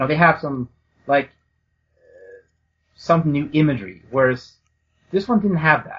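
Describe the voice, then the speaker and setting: His voice has a somewhat breathy sound. The man keeps a moderate pace. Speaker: podcast co-host discussing movies. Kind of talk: casual chat. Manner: halting.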